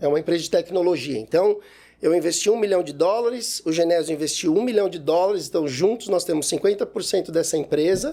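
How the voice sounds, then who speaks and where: A man with a high pitch and a dark, mellow tone speaks fairly quickly, his pitch varying in an ordinary way. The recording is very clean, with a silent background. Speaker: economist, wealth planning advisor. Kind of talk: interview conversation.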